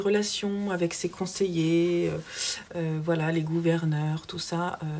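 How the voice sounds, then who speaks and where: A woman with a southern French accent and a fairly low pitch in a dark, mellow tone. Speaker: book vlogger. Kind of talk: casual vlog book review. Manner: hesitant, many fillers.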